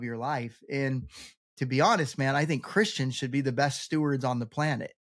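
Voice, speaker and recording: An ordinary speaking voice, a man's at a fairly high pitch with ordinary pitch variation, comes through a very clean recording with a silent background. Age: 40s. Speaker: bi-vocational pastor and real estate investor. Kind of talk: casual interview chat.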